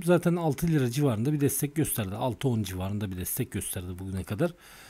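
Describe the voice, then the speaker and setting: A somewhat breathy male voice with very wide pitch swings. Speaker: stock market technical analyst. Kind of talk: tutorial. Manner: halting.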